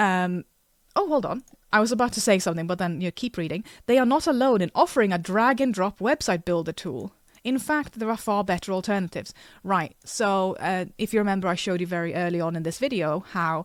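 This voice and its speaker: A woman's medium-pitched voice with a non-native accent, lively intonation and a fairly quick pace, in a very clean, dry, close recording with no echo and a silent background. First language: not English. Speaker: artist and comic creator. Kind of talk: casual vlog; reading aloud with commentary. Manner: halting.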